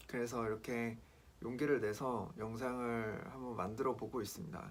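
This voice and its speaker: Audible room echo surrounds a man talking at medium pitch with ordinary pitch variation. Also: moderate pace. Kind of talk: personal testimony vlog. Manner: casual, hesitant with fillers.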